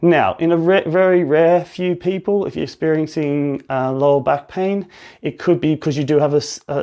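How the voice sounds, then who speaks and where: Male speech in an Australian accent, set against a quiet background. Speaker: physiotherapist. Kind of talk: live-stream talk and education. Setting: Instagram live stream.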